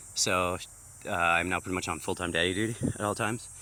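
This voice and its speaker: Fairly even intonation at a fairly quick pace. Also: man. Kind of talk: casual walk-around vlog. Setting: outdoors on farm. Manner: fast, rambling.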